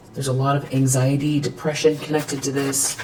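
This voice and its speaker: Over noticeable background noise, a woman with a very deep, low pitch talks at a moderate pace in a monotone, flat intonation. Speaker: tarot reader. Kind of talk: tarot reading. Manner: stuttering; hesitant, many fillers.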